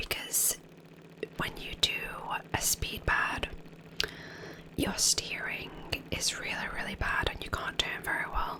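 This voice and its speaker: A woman whispers at a very slow pace, leaving long, frequent pauses. Her tone is relaxed, and noticeable background noise runs underneath. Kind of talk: whispered gameplay commentary. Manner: whispered; relaxed, soft-spoken.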